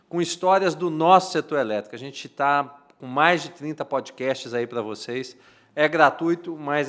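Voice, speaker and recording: The pace here is moderate, and the pitch varies in an ordinary way. It is an ordinary speaking voice. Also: man. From Minas Gerais, Brazil. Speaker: podcast host. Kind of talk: casual interview. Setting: studio.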